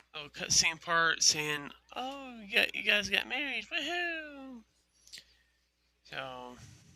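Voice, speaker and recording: A man speaks very slowly in a high, raised and projected voice. His loudness swings widely, with long, frequent pauses. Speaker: gaming youtuber. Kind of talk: gameplay commentary. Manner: halting; casual.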